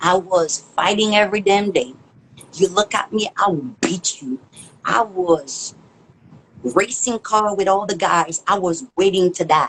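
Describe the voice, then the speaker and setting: A woman speaks fairly slowly at medium pitch, with ordinary pitch variation. Background noise is noticeable. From Haiti. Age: 40s. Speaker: chef. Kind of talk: interview testimony. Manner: loud.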